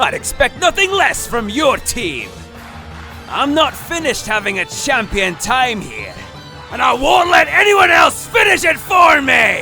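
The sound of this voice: Shouting in a put-on character voice, a man hits an extremely high pitch with big swings, a bright, sharp tone and vocal fry at a fairly slow pace, with faint music in the background.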